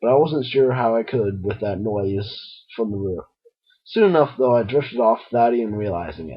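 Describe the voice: With a quiet background, the clip is plain reading aloud.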